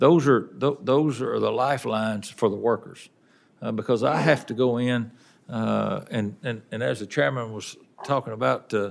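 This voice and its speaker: A man with a Southern US accent at a medium pitch and a moderate pace, with ordinary pitch variation, on a very clean recording with a silent background. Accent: Southern US, says it is noticeable. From Tennessee, Wilson County. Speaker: railroad union representative. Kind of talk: testimony. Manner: halting, many repetitions.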